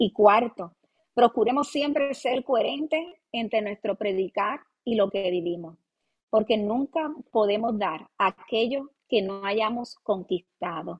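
Very slowly, a woman with a fairly high pitch speaks with lively intonation. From Puerto Rico, Ponce. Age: 30s. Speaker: pastor. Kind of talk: interview testimony and advice. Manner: hesitant fillers like eh and verdad.

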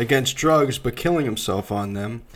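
A normal speaking voice from a man with ordinary pitch variation, on a very clean recording with a silent background. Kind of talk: casual banter.

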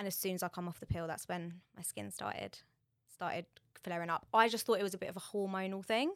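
A woman in a London accent speaks very fast at a medium pitch with fairly even intonation. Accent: London-area English. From southern England. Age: 20s. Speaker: beauty brand manager. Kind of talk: casual interview chat.

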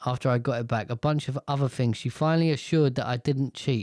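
A man with a British accent, medium pitch and a dark, mellow tone at a fairly quick pace, on a very clean recording with a silent background. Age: 30s. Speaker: podcast host. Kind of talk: casual monologue. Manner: animated.

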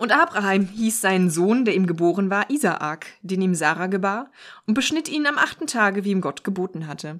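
On a very clean recording with a silent background, a woman at medium pitch talks at a moderate pace with lively intonation. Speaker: podcast co-host. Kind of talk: reading aloud.

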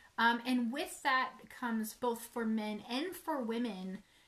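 Pitched fairly high, a woman talks with ordinary pitch variation in an ordinary speaking voice. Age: 30s. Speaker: author and publishing business partner. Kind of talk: casual chat.

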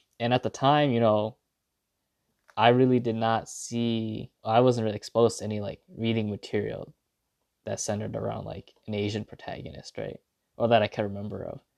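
In an ordinary speaking voice with an American accent, a man talks at a fairly quick pace and medium pitch, his intonation fairly even but his loudness swinging widely, in a dry, close sound with no echo. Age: 20s. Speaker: podcaster. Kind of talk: casual monologue. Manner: casual, rambling with fillers.

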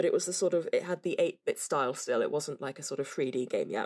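A woman with a British accent. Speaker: podcast co-host. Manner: animated, laughs often.

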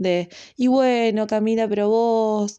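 A woman speaks in a Rioplatense accent with a dark, mellow tone. Her pitch is fairly high and her intonation fairly even. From Argentina, La Plata. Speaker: astrology podcaster. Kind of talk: casual monologue.

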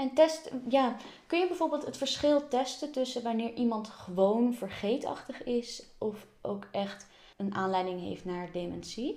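A woman speaks at high pitch with a dark, mellow tone. Her pace is fairly slow and her intonation lively. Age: 20s. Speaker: podcast host. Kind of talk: interview.

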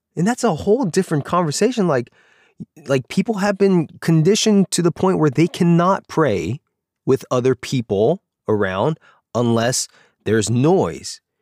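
With an American accent, a man talks at a moderate pace, his fairly high voice showing very wide pitch swings. The sound is very clean, dry and close, with a silent background and no echo. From US, Korean American community. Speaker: pastor, podcast host. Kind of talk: personal memoir monologue. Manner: casual, hesitant with fillers and laughs.

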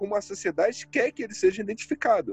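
High male voice against noticeable background noise. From Brazil, Northeast. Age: 30s. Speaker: podcast host. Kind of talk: casual chat.

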